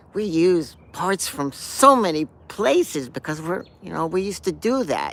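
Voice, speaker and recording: This man's pitch is high and his tone bright and sharp. He moves at a fairly slow pace with very wide pitch swings. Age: 60s. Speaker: punk guitarist. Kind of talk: casual talk to camera. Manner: rambling, hesitant.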